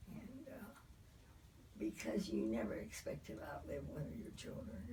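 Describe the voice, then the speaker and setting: Audible room echo surrounds a woman who talks at a moderate pace. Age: 90s. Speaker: elderly interviewee. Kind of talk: interview. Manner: halting.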